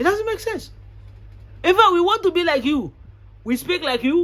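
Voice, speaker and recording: With an American accent, a man speaks at a fairly quick pace in an extremely high voice. His tone is bright and sharp, with very wide pitch swings. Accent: Ghanaian accent leaning toward American. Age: young. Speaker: real estate agent and vlogger. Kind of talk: opinion monologue. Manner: animated.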